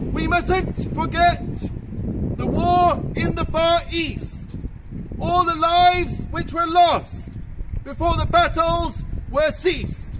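A man at an extremely high pitch, monotone and flat in intonation, at a very slow pace amid noticeable background noise. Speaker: town crier. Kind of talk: town crier proclamation. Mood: solemn, proud commemoration. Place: street. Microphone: camera far.

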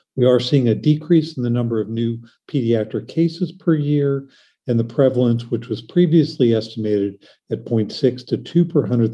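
Against a quiet background, a man speaks in a dark, mellow tone with ordinary pitch variation. His voice is somewhat breathy. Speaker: pediatric surgeon; presenter. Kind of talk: lecture. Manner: fast. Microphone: webcam.

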